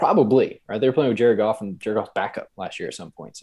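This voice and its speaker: A man with an American accent, very fast, with fairly even intonation against a quiet background. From Texas, Lubbock. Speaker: football pundit. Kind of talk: casual chat. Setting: video call.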